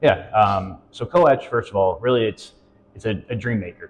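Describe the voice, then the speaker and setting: A man's somewhat breathy voice sits at a fairly low pitch. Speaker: local business operations director. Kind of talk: interview. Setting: on location at a coworking space. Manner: fast.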